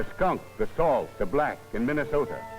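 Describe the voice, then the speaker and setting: A man speaks at a medium pitch with music playing in the background. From United States. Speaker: documentary narrator. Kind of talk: documentary narration. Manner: rhythmic, poetic.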